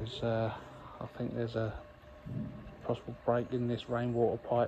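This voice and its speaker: This man talks at a moderate pace while light background noise runs underneath. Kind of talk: casual vlog chat. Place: open country. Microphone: phone near.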